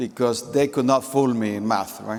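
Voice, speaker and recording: A man speaks in a Central American Spanish accent. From Nicaragua. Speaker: company executive. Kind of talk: conference keynote speech. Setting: stage with audience.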